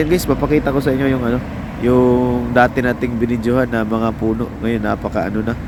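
There is noticeable background noise behind the speech. A man talks at a fairly quick pace. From Philippines, Visayas. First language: Cebuano (Bisaya) (speaking Tagalog). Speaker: vlogger, factory worker abroad. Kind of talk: casual vlog narration. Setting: outdoors. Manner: halting, many fillers.

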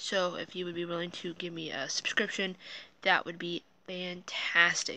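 Mumbled speech in a dry sound with no echo. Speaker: vlogger. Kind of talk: casual vlog chat. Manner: puffy, slightly mumbled recovering speech. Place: home room. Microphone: phone near.

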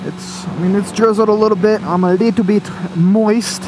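With noticeable background noise behind it, an American-accented voice talks at a moderate pace. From Florida, Tallahassee. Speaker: motorcycle vlogger. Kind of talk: casual monologue while riding. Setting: on a motorcycle, helmet headset. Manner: rambling, hesitant with fillers.

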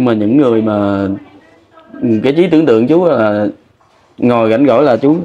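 Ordinary pitch variation marks this man's speech. He talks fairly quickly. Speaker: vlogger. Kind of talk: field interview. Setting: outdoors. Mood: wistful, grieving late wife. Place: workshop. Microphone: lapel.

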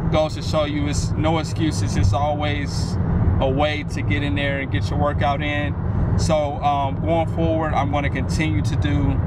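Loud background noise surrounds a man talking at a moderate pace in a dry sound with no echo. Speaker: fitness vlogger. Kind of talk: casual vlog chat. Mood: relieved, upbeat. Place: car.

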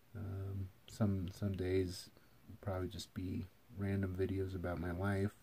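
Speaking at a fairly slow pace with an American accent, a man uses a very deep, low pitch and a dark, mellow, somewhat breathy tone in a flat monotone. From Eastern Washington, US. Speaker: vlogger. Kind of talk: casual video intro monologue. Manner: hesitant with many fillers. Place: home room. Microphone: phone near.

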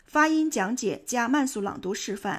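Fairly high in pitch, a woman with an unremarkable speaking voice speaks at a moderate pace on a very clean recording with a silent background. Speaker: English teacher. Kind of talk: English pronunciation lesson.

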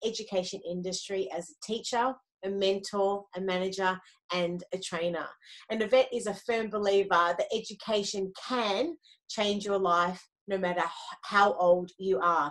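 A woman at a moderate pace, quiet background. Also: ordinary pitch variation. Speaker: podcast host. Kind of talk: show introduction. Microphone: video call.

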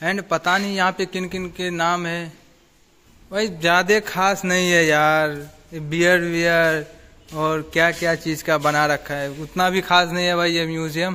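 A man at a high pitch, with monotone, flat intonation and a fairly slow pace. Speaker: vlogger. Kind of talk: casual vlog chat.

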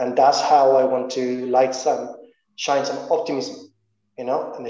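A man's fairly high voice at a moderate pace, with audible room echo and a quiet background. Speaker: venture capital investor. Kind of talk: panel discussion. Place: home room. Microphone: video call.

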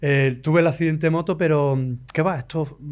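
A man with an Andalusian accent talks at a fairly quick pace, his fairly high pitch showing ordinary variation, in a very clean recording with a silent background. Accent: Andalusian Spanish (Cádiz). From Andalusia, Spain (La Línea de la Concepción, Cádiz). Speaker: musician. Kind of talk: casual interview chat.

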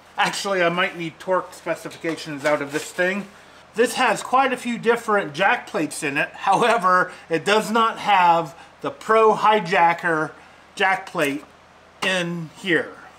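Over light background noise, a man uses a raised, projected voice at a fairly slow pace with ordinary pitch variation. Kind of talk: tutorial. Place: garage. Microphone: phone near.

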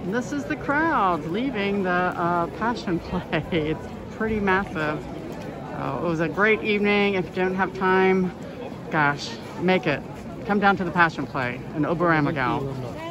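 Crowd noise runs behind an upbeat, enthusiastic tone delivered at a fairly slow pace with a dry sound and no echo. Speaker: walking tour guide / travel vlogger. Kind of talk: casual travel vlog narration. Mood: enthusiastic, admiring. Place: street. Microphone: phone near.

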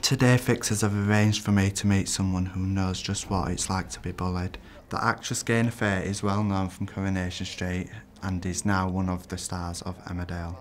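With a Yorkshire accent, a man with a very deep, low pitch speaks at a fairly quick pace in a monotone, flat intonation. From northern England, Leeds. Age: 20s. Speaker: performing arts student and campaigner. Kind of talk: interview; documentary narration.

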